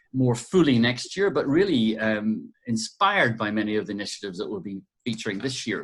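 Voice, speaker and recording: A man's medium-pitched voice in an Irish accent at a fairly quick pace. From Ireland. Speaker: podcast host and curator. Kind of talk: interview. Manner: halting.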